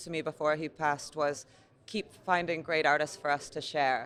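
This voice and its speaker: In an American accent, a woman speaks with a fairly low pitch and monotone, flat intonation. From US, Niagara Falls, New York. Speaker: gallery owner. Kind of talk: interview. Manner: halting, many fillers.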